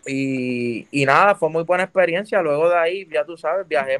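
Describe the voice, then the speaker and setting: With a plain, everyday voice, a man of fairly high pitch speaks at a moderate pace in a dry, close sound with no echo. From Puerto Rico, Juncos. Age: 20s. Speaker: urban music artist. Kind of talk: casual interview chat.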